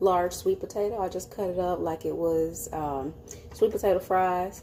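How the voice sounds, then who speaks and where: With noticeable background noise behind her, a woman of medium pitch speaks slowly-ish, at a fairly slow pace, with fairly even intonation in an American accent. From Chicago area, US. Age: 30s. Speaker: mukbang / ASMR food YouTuber. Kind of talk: casual talk to camera.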